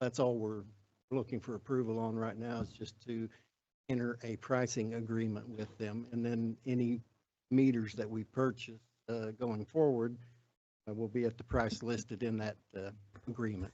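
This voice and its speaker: A dark, mellow tone in a Southern US accent, monotone and flat in intonation, at a moderate pace. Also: man, medium pitch for a man. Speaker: city staff official. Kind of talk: public meeting presentation. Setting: city council meeting. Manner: halting, many fillers.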